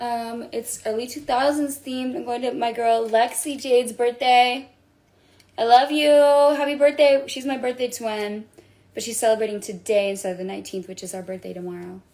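At a high pitch, a woman talks with ordinary pitch variation. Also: moderate pace. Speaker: livestreamer. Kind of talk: casual livestream chat. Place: home room. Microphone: phone near.

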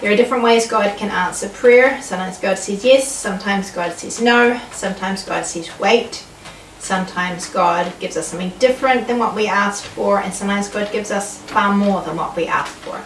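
Over light background noise and audible room echo, a woman talks at a fairly quick pace with ordinary pitch variation. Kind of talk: casual devotional vlog talk. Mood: calm, reflective, warm. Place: home room. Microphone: camera far.

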